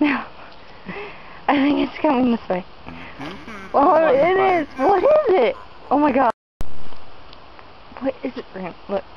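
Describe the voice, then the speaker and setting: The tone is playful and the pace fairly slow, with long, frequent pauses. The sound is dry with no echo, over light background noise. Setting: outdoors, hiking. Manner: playful, excitable. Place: forest. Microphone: phone near.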